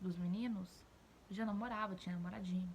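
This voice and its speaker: A woman's voice, somewhat breathy and medium in pitch. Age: 20s. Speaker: YouTuber, mother of two. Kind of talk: casual vlog commentary to camera.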